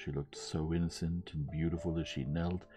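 A man's low-pitched voice with a dark, mellow tone over faint music in the background

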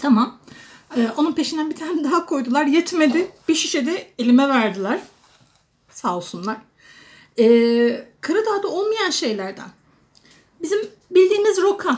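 A woman with a high voice speaks at a fairly slow pace, her pitch swinging very widely. Her speech has long, frequent pauses. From Turkey, Adana; Turkey. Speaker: vlogger; expat vlogger. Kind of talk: casual vlog monologue. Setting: indoors at home during a storm. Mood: warm, chatty, amused. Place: kitchen. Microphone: phone near.

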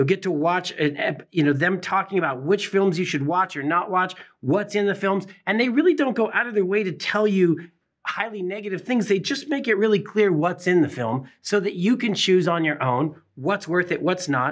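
The speech runs at a moderate pace with hardly any pauses. Its intonation is lively, and the background is quiet. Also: man. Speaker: magazine publisher host. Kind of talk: presenter commentary. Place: studio.

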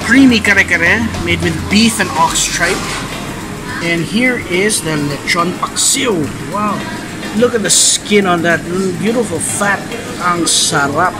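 A man speaks at a fairly slow pace with ordinary pitch variation and long, frequent pauses, while clear music plays in the background. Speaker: food vlogger. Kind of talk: casual vlog commentary. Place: cafe. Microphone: phone near.

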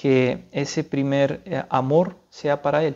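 The man's intonation is monotone and flat, and the background is quiet. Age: 30s. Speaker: seminarian, philosophy student; speaker. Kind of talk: religious talk / spiritual reflection; spiritual talk. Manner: halting, many fillers. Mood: calm, earnest.

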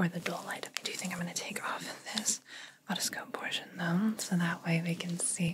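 A soft-spoken woman at a moderate pace, with noticeable background noise. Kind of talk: soft-spoken roleplay talk to the viewer. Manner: soft, hushed ASMR voice. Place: home room.

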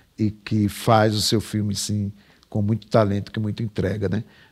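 A man with an unremarkable speaking voice, fairly low in pitch, at a moderate pace against a quiet background. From Brazil, Pernambuco (Sertânia, later Recife); Pernambuco, Brazil. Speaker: writer; interviewee. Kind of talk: casual interview chat. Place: studio.

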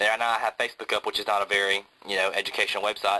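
Speaking at a fairly quick pace, a man with an American accent keeps his intonation fairly even. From Georgia, US South. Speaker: college student video reviewer. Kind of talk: product review tutorial. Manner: casual, filler-heavy. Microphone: phone near.

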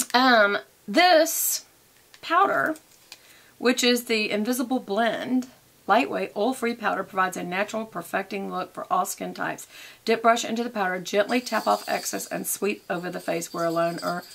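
A woman speaks at a moderate pace with lively intonation and vocal fry. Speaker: beauty vlogger. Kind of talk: casual vlog chat. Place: home room. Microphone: phone near.

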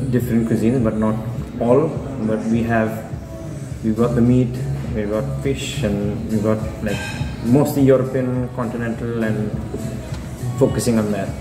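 A man at a moderate pace with ordinary pitch variation and long, frequent pauses, clear music in the background. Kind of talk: interview answer. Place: cafe. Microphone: phone near.

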